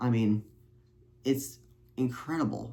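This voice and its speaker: A somewhat breathy male voice at a medium pitch. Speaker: youtuber. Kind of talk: vlog monologue. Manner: halting.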